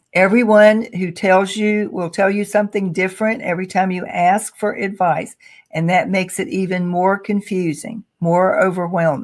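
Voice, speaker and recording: Using a plain, everyday voice, a woman speaks at a moderate pace. She has hardly any pauses, and her pitch varies in an ordinary way. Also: medium pitch for a woman. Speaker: career coach. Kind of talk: webinar presentation. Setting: online webinar.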